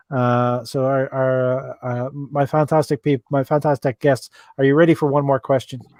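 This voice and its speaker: A man speaks with an Irish accent. His pace is moderate. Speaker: relationship advice livestream host. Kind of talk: live interactive advice stream. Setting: livestream. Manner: halting, many fillers.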